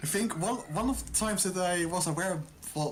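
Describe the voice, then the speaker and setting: The speaker has a slight Dutch accent. The pace is moderate. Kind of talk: casual chat.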